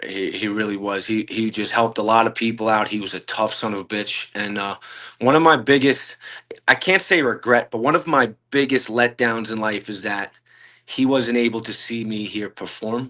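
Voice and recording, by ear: A man speaks with a fairly low pitch and a bright, sharp tone. His intonation is fairly even. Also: moderate pace.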